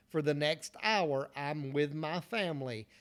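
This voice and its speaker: A man with a Southern US accent talks at a fairly slow pace in a fairly high pitch. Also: very clean recording, silent background. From US South, North Carolina. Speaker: motivational speaker. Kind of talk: motivational talk. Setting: solo video recording after failed livestream.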